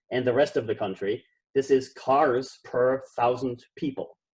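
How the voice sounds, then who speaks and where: With an Austrian accent, a man speaks at medium pitch and a fairly slow pace. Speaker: professor. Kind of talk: conference keynote lecture.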